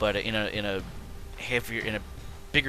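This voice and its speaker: This man has a fairly low pitch and ordinary pitch variation, with noticeable background noise behind him. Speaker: gaming video creator. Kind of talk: gameplay commentary. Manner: stuttering, many fillers.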